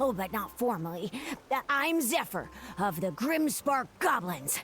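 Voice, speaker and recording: A female-sounding voice performs a put-on character voice at a moderate pace, pitched fairly high with very wide pitch swings. Background noise is clearly audible. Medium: machinima. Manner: enthusiastic, giggly.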